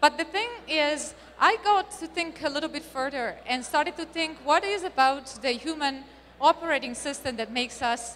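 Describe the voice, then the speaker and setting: A woman projects a raised voice with a bright, sharp tone and ordinary pitch variation. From Italy. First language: Italian. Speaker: marketing speaker. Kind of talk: conference talk.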